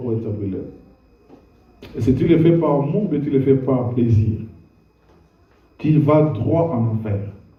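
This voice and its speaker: A man's medium-pitched voice at a fairly slow pace, with long, frequent pauses, ordinary pitch variation and audible room echo. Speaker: pastor. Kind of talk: sermon.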